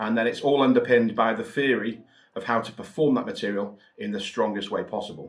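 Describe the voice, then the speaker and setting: The man's voice has a medium pitch. His pace is moderate. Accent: Welsh. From Wales. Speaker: mentalist and magic author. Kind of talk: promotional talk. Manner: casual, with fillers.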